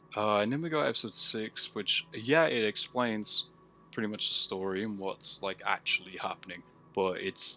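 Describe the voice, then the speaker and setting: Music in the background, with a moderate pace and ordinary pitch variation. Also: man. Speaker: amateur filmmaker reviewing own work. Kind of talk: solo video review commentary. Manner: casual, with many fillers.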